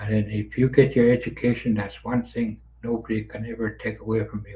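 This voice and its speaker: Speaking at a fairly quick pace, a man with a medium pitch uses a somewhat breathy, dark, mellow tone, monotone, flat intonation and big swings in loudness. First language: Carrier (Dene language). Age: 60s. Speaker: residential school survivor. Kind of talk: testimony.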